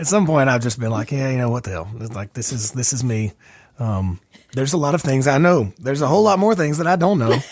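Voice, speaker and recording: Very fast speech from a man in an Alabama accent, medium in pitch with very wide pitch swings, over noticeable background noise. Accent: Alabama Southern US. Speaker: podcast host and singer-songwriter. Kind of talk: casual chat. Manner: tends to mumble.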